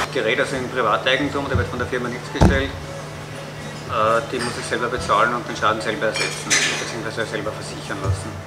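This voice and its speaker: A man talks at a moderate pace against loud background noise. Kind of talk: interview answer. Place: cafe.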